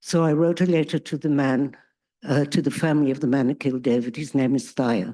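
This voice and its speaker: A dark, mellow voice with a South African accent moves at a fairly quick pace over a quiet background. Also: woman, very deep, low pitch for a woman, ordinary pitch variation. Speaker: peace activist, bereaved parent. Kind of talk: testimony. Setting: stage with audience.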